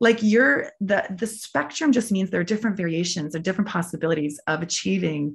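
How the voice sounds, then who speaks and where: Somewhat breathy and with a Canadian accent, a woman talks at a fairly quick pace with a fairly low pitch and ordinary pitch variation. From Prince Edward Island, Canada. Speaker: athlete and occupational therapist. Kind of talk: interview.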